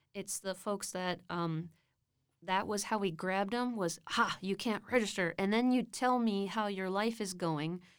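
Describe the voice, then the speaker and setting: Recorded very cleanly against a silent background, a woman with an American accent talks at a moderate pace and a medium pitch, with ordinary pitch variation. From Texas, Austin area. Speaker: university academic advisor. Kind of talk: casual interview. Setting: studio.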